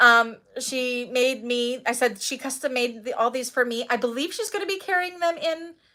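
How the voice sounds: Bright and sharp in tone, a woman's fairly high voice moves at a moderate pace with ordinary pitch variation.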